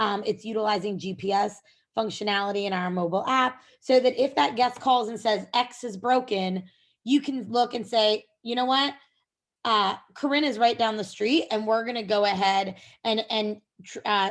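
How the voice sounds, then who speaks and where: Her voice is a normal speaking voice, with a woman pitched fairly high speaking at a moderate pace and with ordinary pitch variation. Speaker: software company presenter. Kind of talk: webinar presentation.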